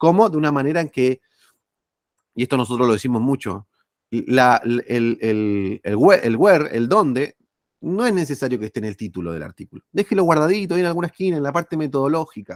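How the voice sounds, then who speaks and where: Fairly high for a man, this voice swings very widely in pitch. He talks fairly quickly, and the sound is dry and close with no echo. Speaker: journal editor and academic speaker. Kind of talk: lecture. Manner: fast; animated.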